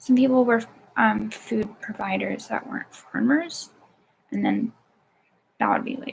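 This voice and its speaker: A woman speaks at a fairly slow pace. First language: not Polish (Polish non-native). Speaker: vlogger. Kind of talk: casual monologue. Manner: halting, many fillers.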